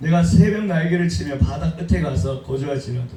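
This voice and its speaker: Over music in the background and audible room echo, a man speaks with ordinary pitch variation. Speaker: pastor. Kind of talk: sermon. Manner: calm, gentle delivery; soft-spoken, not shouting.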